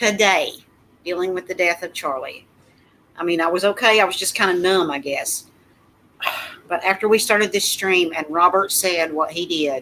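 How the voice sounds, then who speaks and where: Long, frequent pauses break up speech with ordinary pitch variation. Background noise is noticeable. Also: woman, medium pitch for a woman, moderate pace. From Kentucky. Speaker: YouTube channel host. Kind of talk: casual livestream chat.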